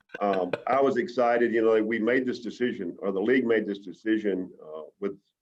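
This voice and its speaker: Fairly quick speech delivered in a Southern US accent. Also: man, medium pitch for a man, ordinary pitch variation. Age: 60s. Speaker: baseball team manager. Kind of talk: interview. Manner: halting.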